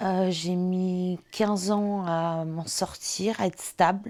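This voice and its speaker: A woman speaks in a dark, mellow tone at a medium pitch with fairly even intonation. The recording is very clean, with a silent background. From France, La Rochelle. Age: 30s. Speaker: interviewee sharing lived experience of bipolar disorder. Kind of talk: testimony. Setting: on-camera interview. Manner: hesitant, many fillers.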